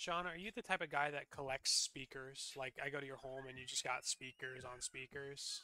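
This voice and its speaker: Speaking at a fairly slow pace, a man has a bright, sharp tone, and the sound is dry and close with no echo. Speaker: sports commentator. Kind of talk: live commentary.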